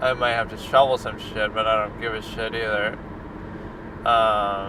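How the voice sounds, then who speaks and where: Over noticeable background noise, a man at medium pitch speaks fairly slowly in a monotone, flat delivery. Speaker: movie and TV reviewer. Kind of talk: casual monologue.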